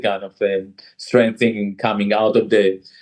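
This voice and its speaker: A man with an Israeli accent, a fairly low pitch, fairly even intonation and a fairly slow pace. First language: Hebrew. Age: 60s. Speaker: jazz musician and author. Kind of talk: interview. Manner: halting.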